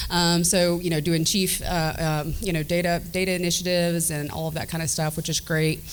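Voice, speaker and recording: A woman talks at a fairly quick pace in a fairly low pitch with monotone, flat intonation over noticeable background noise. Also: hardly any pauses. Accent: Southern US. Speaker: state government director. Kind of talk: panel remarks. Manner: many fillers (um, uh).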